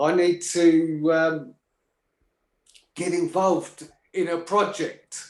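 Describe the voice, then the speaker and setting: A loud man talks at a very slow pace with a high pitch. He leaves long, frequent pauses, his intonation monotone and flat. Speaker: caller. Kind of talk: casual chat. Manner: halting.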